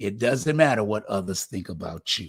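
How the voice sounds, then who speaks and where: A man speaks at a fairly slow pace and a fairly low pitch. His voice is somewhat breathy, with lively intonation. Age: 70s. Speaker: community talk show host. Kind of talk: motivational monologue.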